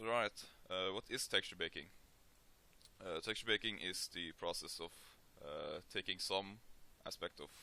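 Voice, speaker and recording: Very deep and low, a man's voice carries a bright, sharp tone and a Norwegian accent. He speaks at a moderate pace. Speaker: 3D modeling tutorial maker. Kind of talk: tutorial. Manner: hesitant, many filler sounds.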